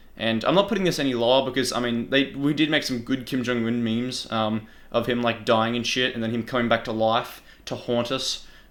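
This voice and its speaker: Using an Australian accent, a man at medium pitch talks at a fairly quick pace with fairly even intonation. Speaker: YouTuber. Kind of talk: casual commentary.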